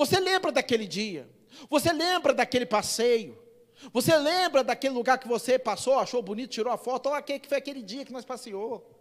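Man at a moderate pace with lively intonation. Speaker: pastor. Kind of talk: sermon. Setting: church.

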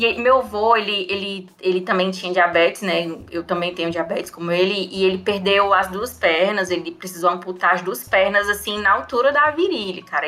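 Noticeable background noise sits behind a woman of medium pitch. She talks at a moderate pace with ordinary pitch variation and hardly any pauses. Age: 30s. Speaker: anthropologist. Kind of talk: casual storytelling chat.

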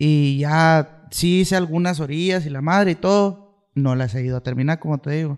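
A man with a plain, everyday voice and a fairly high pitch speaks at a moderate pace, showing ordinary pitch variation and hardly any pauses. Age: 20s. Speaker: musician. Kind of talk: casual chat.

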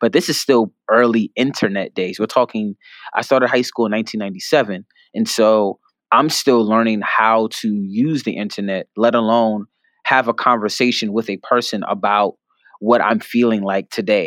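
A man with an American accent speaks in a normal speaking voice at a moderate pace, his pitch medium and intonation fairly even. The sound is dry and close with no echo, over a quiet background. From New York, the Bronx. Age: 30s. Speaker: writer and poet. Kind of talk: interview.

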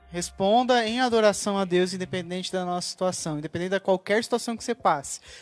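Talking at a very fast pace with hardly any pauses, a woman speaks at medium pitch with ordinary pitch variation and big swings in loudness, in a dry, close sound with no echo. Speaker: church member panelist. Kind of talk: casual church panel discussion.

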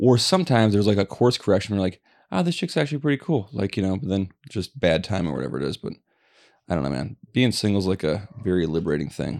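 A man with a fairly low pitch talks at a very fast pace, using very wide pitch swings and vocal fry. The recording is very clean, with a silent background. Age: 40s. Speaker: podcast co-host. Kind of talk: casual chat.

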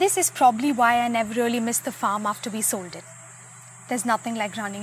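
Noticeable background noise runs under the recording. Over it, a woman speaks at a fairly high pitch. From Bangalore, India. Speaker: storyteller. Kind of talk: reading aloud.

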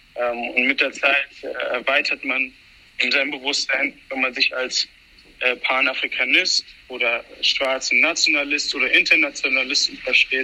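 A man talks at a fairly slow pace. Noticeable background noise can be heard behind him. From Hesse, Germany. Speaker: activist. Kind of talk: casual chat. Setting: subway train. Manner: halting, many fillers.

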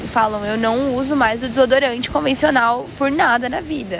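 There is audible room echo and noticeable background noise around this woman. She talks at a high pitch and a moderate pace with ordinary pitch variation. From Brazil, São Paulo. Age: 20s. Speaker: entrepreneur. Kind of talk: casual chat. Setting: outdoors on a beach.

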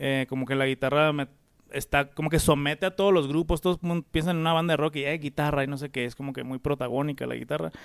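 A fairly high-pitched man at a very fast pace, with fairly even intonation. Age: 30s. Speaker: musician. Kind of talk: casual chat.

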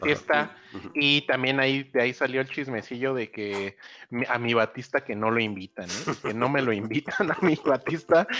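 His tone is bright and sharp, at a medium pitch. The man talks at a moderate pace with ordinary pitch variation. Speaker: podcast co-host. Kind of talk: casual chat.

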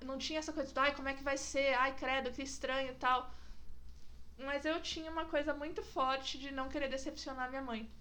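Raising and projecting her high voice, a woman speaks in a bright, sharp tone amid audible room echo. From São Roque, interior of São Paulo state, Brazil. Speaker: podcast host. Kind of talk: casual chat. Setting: in-person recording at home.

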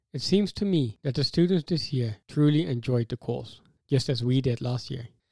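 A man's dark, mellow, somewhat breathy voice sits at a medium pitch, with a dry, close sound with no echo, on a very clean recording over a silent background. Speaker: podcast co-host and PhD student. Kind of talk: scripted narration. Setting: studio.

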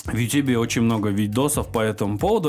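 An ordinary speaking voice, ordinary pitch variation and a moderate pace. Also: man. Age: 20s. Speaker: blogger. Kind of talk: casual chat.

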